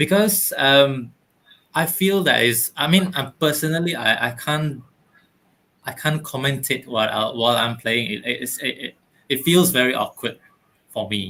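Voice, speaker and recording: A man's fairly high, bright, sharp voice with lively intonation, a non-native accent and long, frequent pauses. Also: moderate pace. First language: not English. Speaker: youtuber. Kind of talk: casual chat. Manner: halting.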